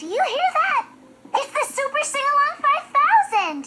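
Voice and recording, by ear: This cartoonish character voice is squeaky and sits at an extremely high pitch. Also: moderate pace.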